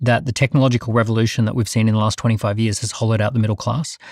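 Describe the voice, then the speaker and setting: A man talks in a medium pitch with fairly even intonation, in a dry, close sound with no echo. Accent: Australian. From Australia. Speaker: entrepreneur. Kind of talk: panel discussion.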